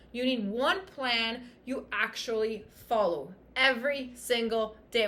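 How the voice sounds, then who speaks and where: In a bright, sharp tone, a woman speaks with an animated, passionate delivery. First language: French. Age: 30s. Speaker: fitness coach and podcast host. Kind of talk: motivational podcast monologue.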